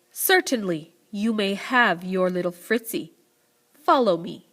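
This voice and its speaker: A woman does a growling, put-on character voice at medium pitch, moving at a fairly slow pace with lively intonation. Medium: read story.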